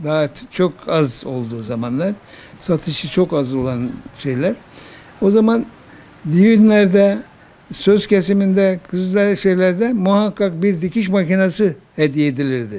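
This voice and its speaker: A man speaks at a fairly slow pace with a high pitch. His intonation is lively. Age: 80s+. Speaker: sewing machine repairman. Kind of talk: interview answer. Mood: calm, reminiscing. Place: workshop. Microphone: handheld.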